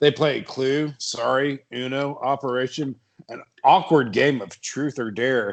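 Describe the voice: The voice reads aloud plainly, its intonation fairly even. Nothing can be heard behind it.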